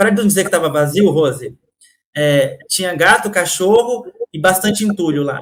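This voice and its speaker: The voice belongs to a man with a high pitch. He talks at a moderate pace. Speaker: podcast guest, storyteller. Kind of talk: interview answer, personal story.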